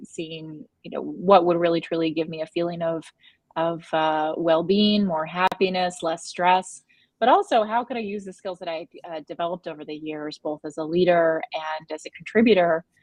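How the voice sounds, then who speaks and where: In an American accent, a woman uses a plain, everyday voice pitched fairly low, her intonation fairly even while her loudness swings widely. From United States. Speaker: wellness consultant. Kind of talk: panel discussion.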